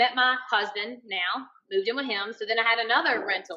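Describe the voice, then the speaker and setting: This woman's voice sits at a fairly high pitch. She speaks with a slight Southern US accent. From Alabama. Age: 30s. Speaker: chemical engineer and bikini competitor. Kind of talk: podcast interview.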